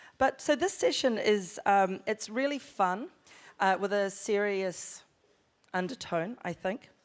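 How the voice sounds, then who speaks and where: On a very clean recording with a silent background, a woman speaks at a medium pitch. Her pace is fairly slow, with ordinary pitch variation. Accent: New Zealand. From New Zealand. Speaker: screenwriter and panel presenter. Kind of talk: conference panel talk.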